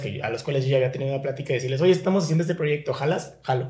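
A man with a Mexican accent talks at a fairly high pitch in a somewhat breathy voice, with ordinary pitch variation and audible room echo. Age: 30s. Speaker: podcast host. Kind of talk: casual chat.

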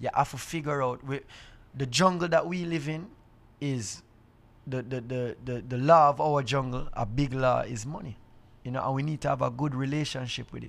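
A man with a Jamaican accent speaks at a medium pitch. The recording is very clean, with a silent background. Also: ordinary pitch variation, moderate pace. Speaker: reggae artist. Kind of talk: casual chat. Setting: green room backstage on tour.

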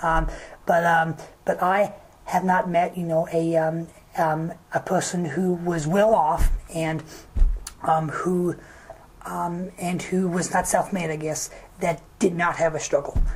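Monotone, flat intonation at a very slow pace, with long, frequent pauses and noticeable background noise. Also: woman, fairly low pitch for a woman. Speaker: podcast guest. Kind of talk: casual chat. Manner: halting.

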